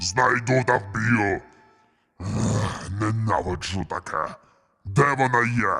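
In a put-on character voice, a man growls at a medium pitch and a very slow pace, with long, frequent pauses. Faint music plays in the background. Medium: machinima. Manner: meows between threats.

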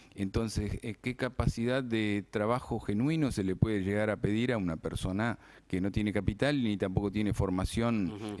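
A man with an unremarkable speaking voice, fairly low in pitch, ordinary pitch variation, a moderate pace, and a quiet background. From Argentina. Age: 40s. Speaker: cooperative organizer; TV guest. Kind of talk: interview. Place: studio. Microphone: studio mic.

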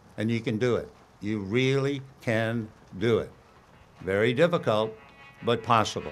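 Medium-pitched male speech at a moderate pace, broken by long, frequent pauses, with music in the background. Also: ordinary pitch variation. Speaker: retired baseball announcer. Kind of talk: commencement speech. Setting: university ceremony. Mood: warm, inspiring, humorous. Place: stage. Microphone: podium.

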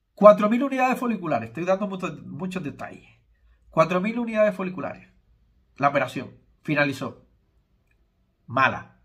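A man speaks at a high pitch with very wide pitch swings and big swings in loudness. His moderate pace is broken by long, frequent pauses, and the background is quiet. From Spain. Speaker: YouTuber and hair transplant consultant; YouTuber. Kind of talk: casual vlog monologue. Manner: informal, conversational. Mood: critical, explanatory. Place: home room. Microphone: phone near.

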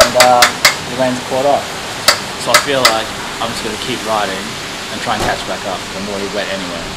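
A man at a very fast pace with ordinary pitch variation, amid loud background noise. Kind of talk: casual vlog chat. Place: street. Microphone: earbuds.

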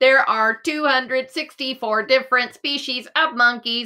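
A woman's high, put-on character voice at a very slow pace. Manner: long-winded, chatty.

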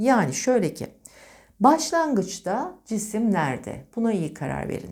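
On a very clean recording with a silent background, a woman's fairly high voice has a dark, mellow tone and very wide pitch swings. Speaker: physics teacher. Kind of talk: lecture.

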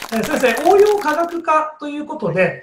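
With audible room echo and a quiet background, a man speaks at a moderate pace with an extremely high pitch. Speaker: education writer and interviewer. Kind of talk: interview. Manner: polite. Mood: polite, friendly. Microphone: video call.

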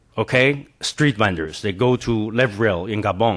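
Speaking with a Chinese accent, a man uses lively intonation at a fairly low pitch. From China. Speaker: professor. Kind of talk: panel presentation.

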